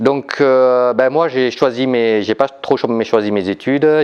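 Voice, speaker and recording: Over music in the background, a man with a Vietnamese accent talks with ordinary pitch variation. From Vietnam, raised in southern France from age 8. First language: Vietnamese (speaking French). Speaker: entrepreneur. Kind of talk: talk to an audience. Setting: live event with audience. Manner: hesitant, many fillers.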